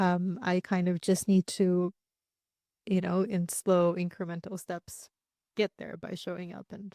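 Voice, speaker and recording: A dark, mellow tone with a Russian accent, monotone, flat intonation, big swings in loudness, a fairly slow pace with long, frequent pauses, and a dry, close sound with no echo. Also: woman. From Russia, then Luxembourg and US (Houston). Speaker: singer-songwriter. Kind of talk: interview conversation.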